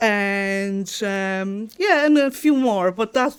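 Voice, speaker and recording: A woman with a Polish accent speaks at a very slow pace and medium pitch, with ordinary pitch variation, in a very clean recording with a silent background. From Poland, Chełmno. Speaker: dog trainer. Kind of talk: interview. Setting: studio.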